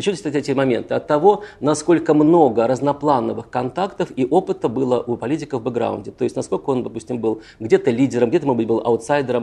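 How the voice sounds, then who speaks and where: A man with a dark, mellow tone at a very fast pace. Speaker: political psychologist. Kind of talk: lecture. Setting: stage with audience.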